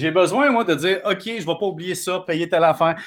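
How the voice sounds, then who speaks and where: On a very clean recording with a silent background, a man with a high pitch talks at a very fast pace with ordinary pitch variation. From Quebec, Valleyfield. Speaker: economics columnist and TV host. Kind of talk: casual chat.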